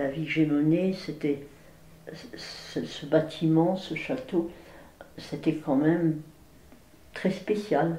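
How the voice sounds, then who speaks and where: A woman speaks at a very slow pace in a very deep, low voice, with long, frequent pauses. Her pitch varies in an ordinary way, and the room echo is audible. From France, Villard-de-Lans (Vercors). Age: 80s+. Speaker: elderly local resident sharing memories. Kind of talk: oral history interview. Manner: hesitant, with repetitions.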